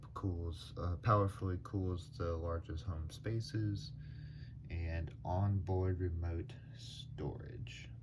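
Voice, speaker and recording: A man's somewhat breathy, very deep, low voice amid audible room echo. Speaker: YouTuber doing product reviews. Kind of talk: casual product review. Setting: at home, late at night. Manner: soft-spoken, talking quietly; hesitant, many fillers.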